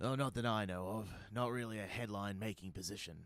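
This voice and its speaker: A raspy, put-on character voice rattles along at a very fast pace. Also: man, fairly low pitch for a man. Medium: audio drama. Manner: casual, offhand.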